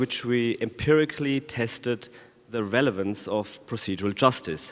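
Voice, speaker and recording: Lively intonation runs through this man's speech. He talks at a moderate pace. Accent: German. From Germany. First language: German. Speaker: law professor. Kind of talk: conference talk.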